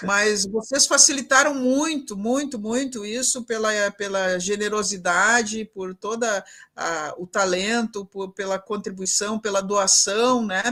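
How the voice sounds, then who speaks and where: A woman's fairly high voice, a plain, everyday voice with ordinary pitch variation, at a fairly slow pace with hardly any pauses. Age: 60s. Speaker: professor and event mediator. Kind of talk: closing remarks in a live online panel. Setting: live broadcast event.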